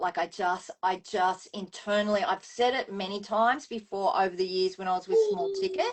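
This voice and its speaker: This woman speaks in an Australian accent with hardly any pauses and ordinary pitch variation. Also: medium pitch for a woman, moderate pace. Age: 60s. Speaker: former professional dancer, wellness business owner. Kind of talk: interview answer.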